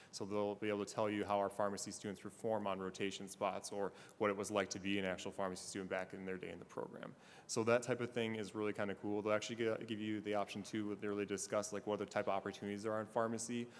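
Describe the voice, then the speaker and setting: Very fast and monotone, a man talks with flat intonation at a fairly low pitch. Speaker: pharmacy school recruiter. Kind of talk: panel talk.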